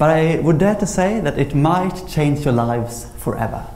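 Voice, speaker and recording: Speaking at a moderate pace with a Swedish accent, a man uses a fairly high pitch with ordinary pitch variation, with audible room echo and light background noise. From Sweden. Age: 20s. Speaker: memory champion; speaker. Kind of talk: lecture. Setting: stage with audience. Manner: halting. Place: hall. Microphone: lapel.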